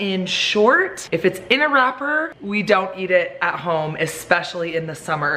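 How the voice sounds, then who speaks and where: An upbeat woman talks over noticeable background noise. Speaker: family lifestyle vlogger, mother of eight. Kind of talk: casual talk to camera.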